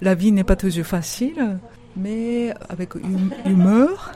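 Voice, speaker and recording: Amid noticeable background noise, a woman of medium pitch speaks very slowly in a Japanese accent with ordinary pitch variation. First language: Japanese (speaking French). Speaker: author-illustrator. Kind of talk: interview.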